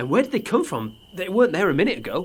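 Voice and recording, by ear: In a put-on character voice, a man speaks fast and high, with big swings in pitch and a slightly husky edge.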